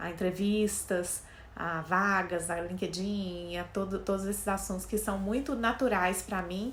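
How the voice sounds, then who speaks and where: Speaking at a fairly slow pace, a woman has a Minas Gerais accent and a medium pitch. Audible room echo surrounds her voice. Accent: mineiro accent, noticeable. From Minas Gerais, Brazil (Belo Horizonte). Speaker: career coach, HR specialist. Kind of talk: casual talk to camera.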